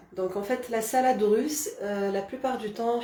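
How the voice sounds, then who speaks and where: The speaker keeps a moderate pace with ordinary pitch variation. Noticeable background noise and audible room echo are present. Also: woman. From Algeria, Kabylie. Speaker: cooking channel host. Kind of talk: live cooking demonstration. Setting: Facebook live stream. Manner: hesitant, many fillers.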